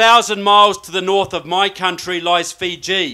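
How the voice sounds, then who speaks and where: This man has a New Zealand accent. He talks at a moderate pace with fairly even intonation. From New Zealand, Christchurch. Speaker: political researcher and author. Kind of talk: speech.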